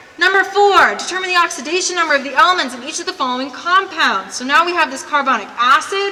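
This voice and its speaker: A woman's extremely high-pitched, raised, projected voice at a very fast pace, with big swings in loudness, audible room echo and noticeable background noise. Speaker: chemistry teacher. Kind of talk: lecture.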